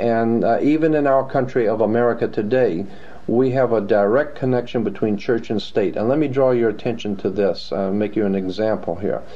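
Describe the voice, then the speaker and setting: A man speaks at a medium pitch amid noticeable background noise. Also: ordinary pitch variation, fairly quick pace, very even loudness. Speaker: guest researcher on secret societies. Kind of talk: interview.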